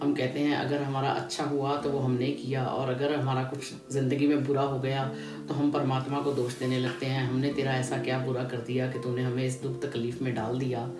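Clear music plays behind a voice that moves at a moderate pace with hardly any pauses. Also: woman. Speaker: motivational speaker. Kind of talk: motivational talk. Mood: calm, earnest. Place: home room. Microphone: phone near.

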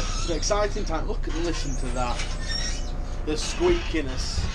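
Loud background noise beneath a man's moderately paced speech. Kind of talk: casual vlog chat. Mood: wistful, last day at job. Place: bus. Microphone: phone near.

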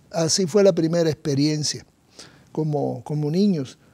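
Speaking at a fairly slow pace, a man uses a dark, mellow tone with ordinary pitch variation. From Cuba. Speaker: doctor. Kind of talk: testimony. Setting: studio.

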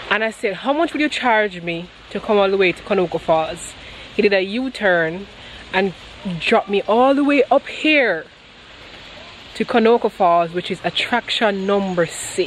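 Her intonation lively and the sound dry with no echo, a woman speaks at a moderate pace with long, frequent pauses over light background noise. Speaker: travel vlogger. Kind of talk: casual vlog chat. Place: garden. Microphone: phone near.

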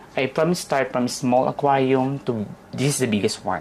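A woman with a Filipino accent speaks at a very deep, low pitch. Noticeable background noise sits behind her voice. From Philippines, Manila. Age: 30s. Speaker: interviewee. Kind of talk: casual chat.

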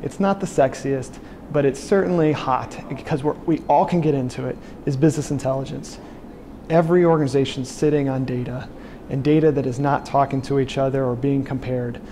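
At a fairly quick pace and with ordinary pitch variation, the voice comes through over light background noise. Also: man. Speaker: presenter. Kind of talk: talking-head recap of a presentation. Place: office. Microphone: lapel.

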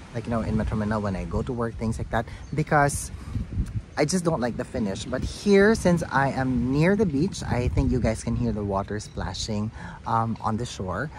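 Lively intonation from a man at a moderate pace, dry sound with no echo, noticeable background noise. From Philippines. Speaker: beauty vlogger. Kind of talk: product review vlog. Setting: outdoors in a garden, no lapel mic. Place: garden. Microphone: phone near.

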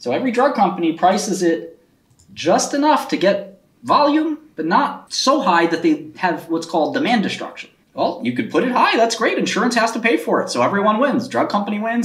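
A man talks fairly quickly, and echo from the room is clearly audible. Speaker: finance streamer. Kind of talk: livestream commentary. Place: home room. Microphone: webcam.

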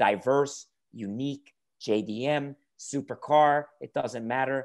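A man speaks in an enthusiastic tone with an American accent. The background is quiet. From New York area. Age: 50s. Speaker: car YouTuber. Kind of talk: interview. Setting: video call. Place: home room. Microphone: video call.

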